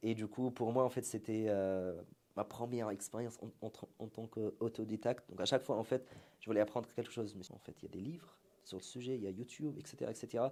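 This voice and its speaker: A man with a dark, mellow tone and a medium pitch talks very fast, his intonation fairly even. His loudness swings widely. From Syria. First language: Arabic (speaking French). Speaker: entrepreneur, marketing agency founder. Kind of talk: interview conversation.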